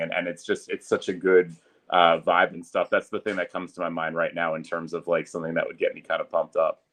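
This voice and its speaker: A man speaks at a fairly quick pace. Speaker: public address announcer. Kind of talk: podcast interview answer, casual conversation.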